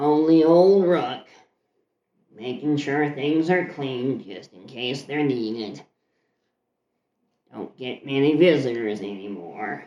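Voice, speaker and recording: Gravelly and strained, a man's put-on character voice at medium pitch moves at a fairly slow pace with long, frequent pauses. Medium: actual play. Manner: dry, off-putting, sullen.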